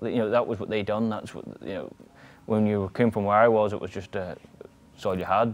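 A man talks at a fairly quick pace with a fairly low pitch and monotone, flat intonation. His loudness swings widely. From Northern Ireland. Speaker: motorcycle road racer. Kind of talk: interview answer. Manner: casual, nonchalant. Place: garage.

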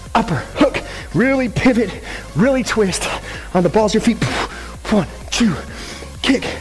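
A man at a fairly slow pace with long, frequent pauses, faint music behind him. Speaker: fitness instructor. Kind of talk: workout coaching cues. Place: gym.

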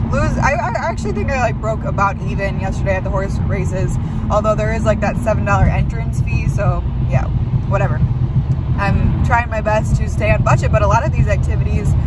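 A woman at a fairly quick pace, dry sound with no echo, loud background noise all around. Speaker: van life vlogger. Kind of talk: casual vlog chat. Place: car. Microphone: phone near.

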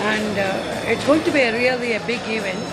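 Loud background noise fills the recording. A woman talks over it at a moderate pace. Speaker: amateur runner. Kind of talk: interview answer. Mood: warm, upbeat. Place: hall.

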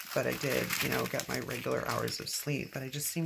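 The voice is quiet and moves at a fairly quick pace. Audible room echo and noticeable background noise are present. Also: woman. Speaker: planner decorating video creator. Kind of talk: casual crafting commentary.

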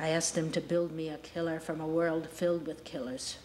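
A woman at a fairly low pitch and moderate pace, with light background noise. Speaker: actor performing monologue. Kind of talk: dramatic acted monologue. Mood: intense, menacing, bitter. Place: studio.

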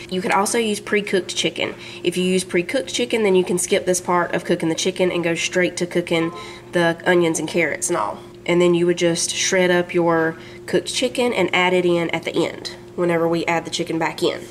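A woman speaks at a fairly quick pace with fairly low pitch and fairly even intonation. Music plays in the background. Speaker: home cook vlogger. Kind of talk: cooking tutorial. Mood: cheerful, relaxed. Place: kitchen.

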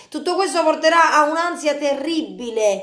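Speaking in an animated tone, a woman with a high pitch is heard with audible room echo over a quiet background. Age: 30s. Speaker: youtuber. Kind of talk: video monologue. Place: kitchen. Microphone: phone near.

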